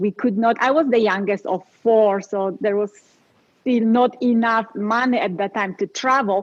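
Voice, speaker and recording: A woman's fairly high voice in a Polish accent, at a moderate pace with fairly even intonation. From Poland. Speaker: life coach. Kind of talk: interview.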